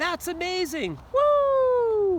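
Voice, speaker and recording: A man puts on a squeaky character voice at an extremely high pitch, with clear background noise behind him. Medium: read story.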